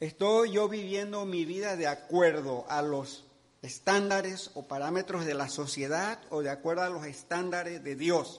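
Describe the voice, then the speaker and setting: Fairly slow, high-pitched male speech with ordinary pitch variation. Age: 70s. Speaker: pastor. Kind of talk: sermon.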